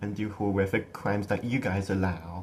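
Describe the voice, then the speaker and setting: A man with an American accent speaks at a moderate pace in a somewhat breathy voice. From USA. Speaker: political commentator (amateur). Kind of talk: political rant. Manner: animated; halting, repeating words.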